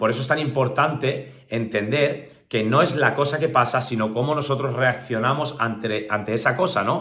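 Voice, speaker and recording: A man's medium-pitched voice with ordinary pitch variation, a moderate pace, hardly any pauses and audible room echo. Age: 30s. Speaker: motivational speaker. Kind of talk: motivational talk.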